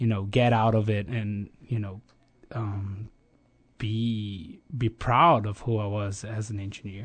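In a Brazilian accent, a man talks at a fairly slow pace against a quiet background. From Brazil, Rio de Janeiro. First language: Portuguese. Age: 30s. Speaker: energy company planning specialist, former exchange student. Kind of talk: casual interview. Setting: studio. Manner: halting, frequent repetitions.

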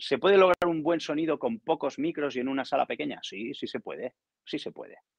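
A man with an ordinary speaking voice talks at a fairly quick pace and a fairly high pitch. The sound is dry and close, without echo. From Barcelona, Spain. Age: middle-aged. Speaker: professional session drummer. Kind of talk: casual chat.

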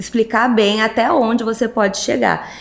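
Over noticeable background noise, a woman with a fairly high pitch keeps her intonation fairly even. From Sorocaba, São Paulo state, Brazil. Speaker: plastic surgeon. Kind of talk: casual interview chat.

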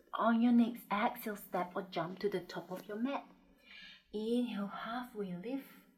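Fairly high-pitched woman's voice, calm and soothing, somewhat breathy, with ordinary pitch variation. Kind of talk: guided yoga class with breath cues and meditation. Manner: calm, soothing, unhurried, gently instructive; rhythmic cueing, short commands paced with the breath.

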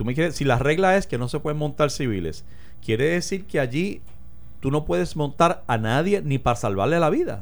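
A man with vocal fry and very wide pitch swings, at a fairly quick pace, in audible room echo. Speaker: radio talk show host. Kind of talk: casual political discussion.

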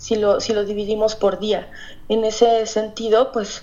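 Monotone, flat intonation at a fairly slow pace, over noticeable background noise. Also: woman. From Mexico, Hidalgo. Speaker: novelist. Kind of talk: interview. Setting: phone call.

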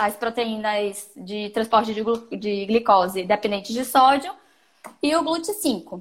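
Here is a plain, everyday voice with ordinary pitch variation. The pace is fairly slow. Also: woman, fairly high pitch for a woman. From Brazil, Salvador (Bahia). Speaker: nutritionist and triathlete. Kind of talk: casual interview on sports nutrition. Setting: live stream.

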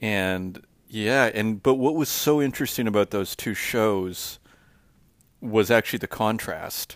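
A man with a Canadian accent has a normal speaking voice, fairly low in pitch, at a fairly slow pace with ordinary pitch variation. The recording is very clean, with a silent background. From Saskatchewan, Canada. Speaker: artist. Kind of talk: spoken audio diary. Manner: casual, rambling with many fillers.

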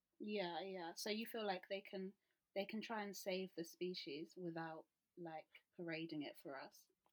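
A woman speaks at a medium pitch and a moderate pace, with ordinary pitch variation. She has an unremarkable speaking voice. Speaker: podcast host. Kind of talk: casual chat. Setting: remote call.

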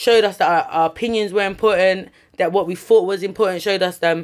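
Speaking at a very fast pace with a South London accent, a woman at medium pitch keeps a fairly even intonation on a very clean recording with a silent background. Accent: South London multicultural English. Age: 20s. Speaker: chef and food entrepreneur. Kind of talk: casual chat.

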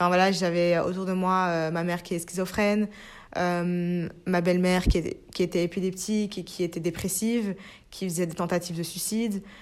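In a very clean recording with a silent background, a woman speaks at medium pitch. Her intonation is monotone and flat, and her pace is moderate. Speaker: podcaster. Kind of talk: personal monologue.

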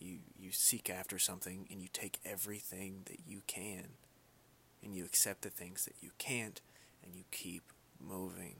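Someone whispers at a moderate pace, with big swings in loudness and long, frequent pauses. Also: man. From Kentucky, Louisville. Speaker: podcaster. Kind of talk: solo casual monologue. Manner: halting, stuttering.

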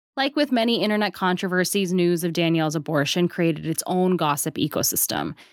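A woman speaks at a fairly quick pace in a plain, everyday voice. The sound is dry and close with no echo, in a very clean recording with a silent background. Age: 20s. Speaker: culture writer and podcast host. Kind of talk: scripted narration.

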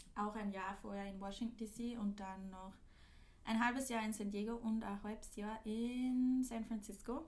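A woman with a fairly high voice speaks at a moderate pace in a monotone, flat delivery. Audible room echo surrounds her words. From Austria, Linz. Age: 20s. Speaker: podcast host, former au pair, student. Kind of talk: casual chat.

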